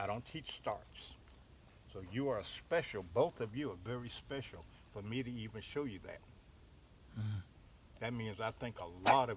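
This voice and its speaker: With ordinary pitch variation and a moderate pace, a man's voice comes across somewhat breathy. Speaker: basket maker. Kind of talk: hands-on craft teaching. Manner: patient, explanatory.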